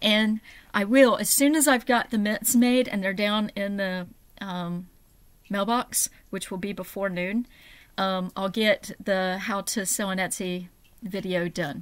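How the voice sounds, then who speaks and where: The speaker is a woman. She varies her pitch in an ordinary way. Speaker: small seller. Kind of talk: casual vlog chat. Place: home room. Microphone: webcam.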